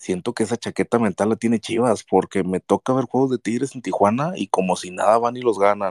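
A normal speaking voice at a fairly quick pace with hardly any pauses, ordinary pitch variation, and a dry, close sound with no echo. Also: man, medium pitch for a man. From northern Mexico. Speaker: football fan. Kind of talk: casual chat.

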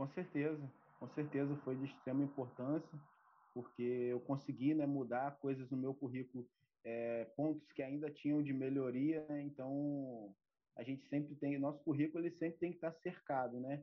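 This man's voice sits fairly high and stays monotone, with flat intonation. He keeps a moderate pace, with long, frequent pauses. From Brazil, Campos dos Goytacazes (Rio de Janeiro state). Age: 30s. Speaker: ROV operator trainee. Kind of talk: interview. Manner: halting, many fillers and repetitions.

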